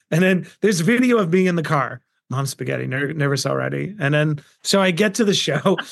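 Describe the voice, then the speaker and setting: Speaking with a New York accent, a man uses a fairly high pitch, lively intonation and an animated tone at a fairly quick pace. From Queens, New York. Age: 40s. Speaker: entrepreneur and investor. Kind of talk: interview.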